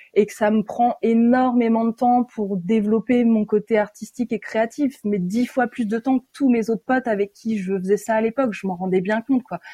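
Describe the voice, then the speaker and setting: Somewhat breathy and dark, mellow in tone, a woman with a fairly high pitch talks at a moderate pace with ordinary pitch variation in a dry, close sound with no echo. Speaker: tour manager. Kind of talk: interview. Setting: remote recording.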